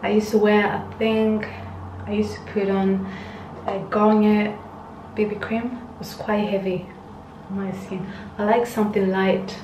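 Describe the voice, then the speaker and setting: The delivery is monotone and flat, fairly slow, with long, frequent pauses and noticeable background noise. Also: woman. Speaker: beauty vlogger. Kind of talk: casual skincare tutorial chat. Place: home room. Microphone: phone near.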